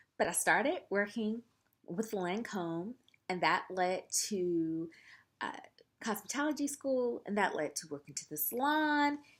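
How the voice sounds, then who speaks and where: In a Southern US accent, a woman speaks at medium pitch with very wide pitch swings. Her pace is fairly slow with long, frequent pauses, and the recording is very clean with a silent background. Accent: Southern US (Georgia). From US South, Columbus, Georgia. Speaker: makeup artist, vlogger. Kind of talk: casual chat to camera.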